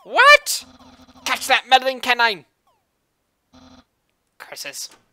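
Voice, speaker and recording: In a put-on character voice, the fairly high-pitched delivery moves at a very slow pace. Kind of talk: comic overacting. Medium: game stream. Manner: grandiose, proud.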